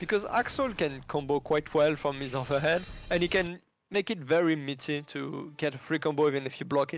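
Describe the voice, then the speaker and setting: This man has a French accent. He talks somewhat briskly. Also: fairly high pitch for a man, ordinary pitch variation. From France. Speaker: esports commentator. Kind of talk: live commentary.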